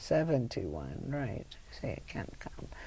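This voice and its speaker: A woman's very deep, low voice with a dark, mellow tone and vocal fry, very wide pitch swings, a very slow pace and audible room echo. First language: not English. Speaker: Holocaust survivor. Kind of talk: oral history interview.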